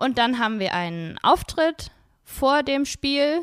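A woman's voice swings very widely in pitch. The sound is dry and close with no echo, on a very clean recording with a silent background. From Wuppertal, Germany. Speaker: cheerleader and club board member. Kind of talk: casual interview.

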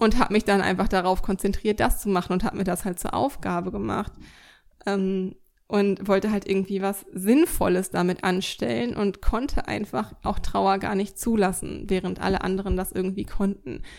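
Speaking in a normal speaking voice, a woman talks at a moderate pace with medium pitch. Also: ordinary pitch variation. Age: 20s. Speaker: podcast host, dog coach. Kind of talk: solo monologue, reflective. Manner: casual, many filler sounds.

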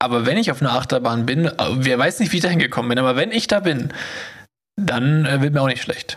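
A man talks at a very fast clip with a lively, bouncing intonation. His pitch sits fairly high, and his loudness stays very even. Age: 30s. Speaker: podcast co-host. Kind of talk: casual chat.

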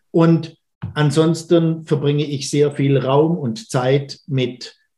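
A man's fairly high-pitched voice, somewhat breathy, with a dark, mellow tone. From Baden-Württemberg, Schwenningen. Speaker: church minister. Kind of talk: podcast interview. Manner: hesitant fillers.

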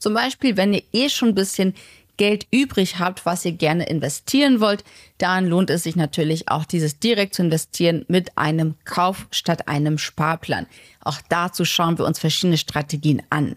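On a very clean recording with a silent background and a dry, close sound with no echo, a woman with a plain, everyday voice speaks at a moderate pace, with a fairly low pitch, ordinary pitch variation and very even loudness. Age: 30s. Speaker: finance podcast host. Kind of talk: casual interview; sales pitch.

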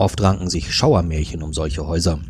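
A man's speech moves at a moderate speed, with pitch that varies the usual amount. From northern Germany. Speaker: podcast co-host, thriller author. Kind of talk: narrated crime story; casual chat.

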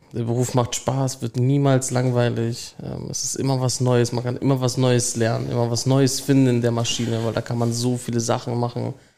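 With noticeable background noise behind him, a man of medium pitch talks at a moderate pace in a monotone, flat intonation. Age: young. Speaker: apprentice process mechanic. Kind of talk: interview.

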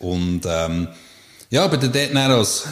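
With a normal speaking voice, a man talks at a fairly slow pace using lively intonation. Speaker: psychological counsellor. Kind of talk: casual interview. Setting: counselling practice.

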